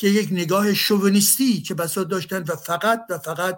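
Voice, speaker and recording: The recording is very clean, with a silent background. A man speaks fairly quickly at a high pitch, with fairly even intonation. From Iran. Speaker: university professor. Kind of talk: panel discussion.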